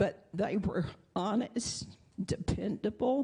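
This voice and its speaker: The speaker has an American accent and a dark, mellow tone with vocal fry. The pace is very slow, and the intonation is lively. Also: woman. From US South, Arkansas. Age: 80s+. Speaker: congregation member. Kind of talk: testimony. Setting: church.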